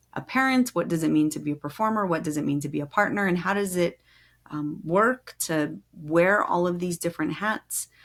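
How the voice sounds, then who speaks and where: Heard in a very clean recording with a silent background, a normal speaking voice moves at a moderate pace with lively intonation. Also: woman, fairly low pitch for a woman. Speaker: podcast host. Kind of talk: podcast interview questions.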